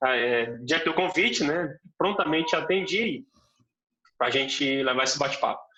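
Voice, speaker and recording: A fairly high-pitched man's voice at a moderate pace, with lively intonation, very even loudness and long, frequent pauses. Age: young. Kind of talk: interview.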